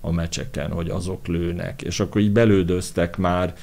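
In a flat monotone, a man speaks with a very deep, low voice. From Hungary, Pécs. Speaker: architect and set designer. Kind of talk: interview.

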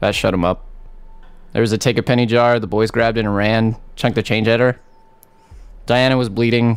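A man at medium pitch speaks with monotone, flat intonation. His pace is fairly quick, broken by long, frequent pauses. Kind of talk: intense confessional interview, heated. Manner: bitter, emotional, defiant.

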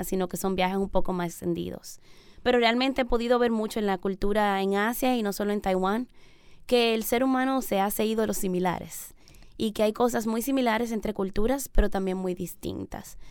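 On a very clean recording with a silent background, a woman talks at a fairly quick pace. She has a normal speaking voice at a medium pitch with ordinary pitch variation. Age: 30s. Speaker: missionary. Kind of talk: radio interview. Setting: radio studio.

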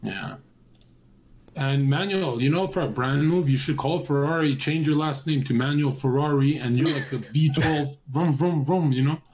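A man speaks at a moderate pace in a fairly high, somewhat breathy voice with fairly even intonation. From Canada, Vancouver. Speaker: streamer. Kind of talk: casual chat.

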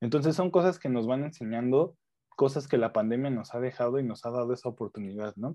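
Using ordinary pitch variation, a man speaks fairly quickly in a medium pitch. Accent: Mexican. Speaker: food chemist. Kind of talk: casual chat.

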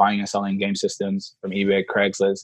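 This man speaks in a fairly low register with a flat, monotone intonation. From Senegal, moved to Atlanta at age five. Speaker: SaaS marketing consultant. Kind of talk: interview.

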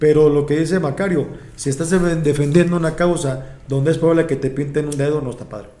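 Audible room echo follows a man who talks fairly quickly at a fairly high pitch with fairly even intonation. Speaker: stand-up comedian. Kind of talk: casual chat. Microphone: far from the mic.

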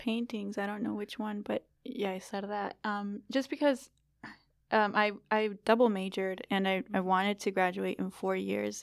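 In an unremarkable speaking voice, a woman talks at a moderate pace with fairly even intonation. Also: medium pitch for a woman, very clean recording, silent background. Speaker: guest, friend of host. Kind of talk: casual chat.

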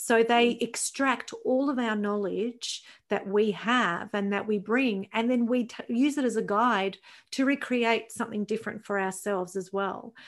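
A woman with a normal speaking voice, fairly high in pitch, at a fairly slow pace. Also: fairly even intonation, very clean recording, silent background. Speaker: podcast host. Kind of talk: casual interview.

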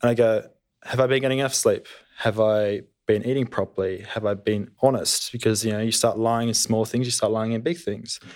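A man's medium-pitched voice with an Australian accent, fairly quick, in fairly even intonation. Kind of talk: panel discussion, testimony. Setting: studio. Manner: reserved.

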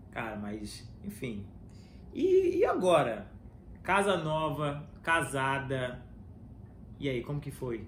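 A man speaks very slowly at a fairly high pitch, somewhat breathy, with long, frequent pauses. His intonation is lively, his loudness swings widely, and the room echo is audible. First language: English (speaking Portuguese). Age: 30s. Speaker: podcast host. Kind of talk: casual chat.

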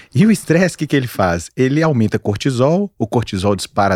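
At a moderate pace and medium pitch, a man talks with very wide pitch swings in a dry, close sound with no echo. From Minas Gerais, Brazil (Montes Claros). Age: 40s. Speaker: physician specializing in weight loss. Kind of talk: casual chat.

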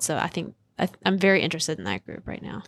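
Fairly low-pitched woman's voice with vocal fry, in a very clean recording against a silent background. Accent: American. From coastal North Carolina, US South. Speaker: professor, bee biologist. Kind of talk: interview.

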